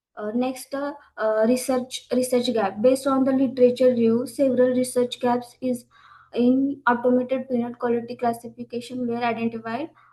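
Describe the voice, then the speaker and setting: The speaker has an Indian accent and a dark, mellow tone, with monotone, flat intonation at a moderate pace. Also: woman. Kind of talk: conference presentation. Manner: halting, many fillers; soft-spoken. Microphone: too quiet at first.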